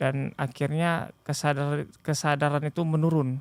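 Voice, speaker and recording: The man's intonation is monotone and flat, at a fairly slow pace. The recording is very clean, with a silent background. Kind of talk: podcast interview, personal testimony.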